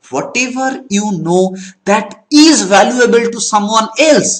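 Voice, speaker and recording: A man with a Bengali accent talks with lively intonation. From Bengal, India. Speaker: network marketing trainer. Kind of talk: training talk. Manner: halting.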